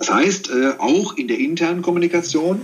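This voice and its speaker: The voice moves at a moderate pace and swings very widely in pitch. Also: man. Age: 50s. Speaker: corporate communications executive. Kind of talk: interview.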